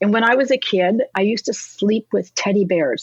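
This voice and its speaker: A woman's normal speaking voice with lively intonation at a moderate pace, dry and close with no echo. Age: 60s. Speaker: fine art photographer. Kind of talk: interview.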